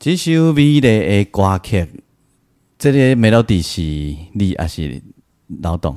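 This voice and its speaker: Pitched fairly low, a man speaks very slowly with a dark, mellow tone. His pitch swings very widely, and his pauses are long and frequent. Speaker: podcast host and Taiwanese-language songwriter, arranger. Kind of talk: casual interview. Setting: remote interview.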